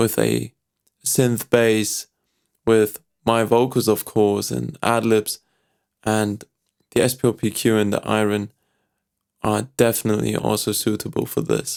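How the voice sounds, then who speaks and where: A man with a German accent speaks at a fairly slow pace in a flat monotone, leaving long, frequent pauses. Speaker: vocal artist and producer. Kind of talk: tutorial.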